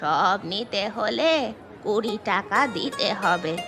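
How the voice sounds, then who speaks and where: A woman's cartoonish character voice at medium pitch, lively in intonation, with clear music behind it. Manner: suspicious, blunt.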